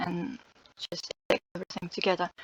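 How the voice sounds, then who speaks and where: Recorded dry and close with no echo, a woman at a medium pitch talks at a moderate pace. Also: quiet background. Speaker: content creator and linguist. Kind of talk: screen-share tutorial. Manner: halting, many fillers. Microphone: poor sound quality.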